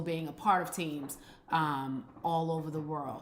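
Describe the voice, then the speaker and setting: Audible room echo surrounds a woman whose fairly low voice keeps a fairly even intonation. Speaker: business strategy consultant. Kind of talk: live stream teaching. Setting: live stream on Instagram. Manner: fast.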